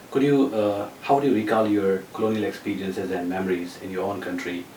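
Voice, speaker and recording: Room echo is audible and background noise noticeable as a man rattles along at a very fast pace. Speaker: interviewer, visiting researcher. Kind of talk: interview. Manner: halting.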